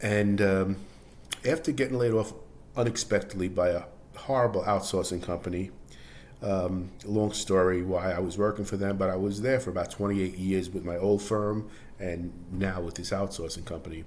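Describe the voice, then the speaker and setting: Here a man talks at a moderate pace with a fairly low pitch. His pitch varies in an ordinary way. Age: 60s. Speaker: personal finance vlogger, laid-off office worker. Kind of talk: personal testimony monologue. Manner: halting, with fillers and false starts; casual, conversational.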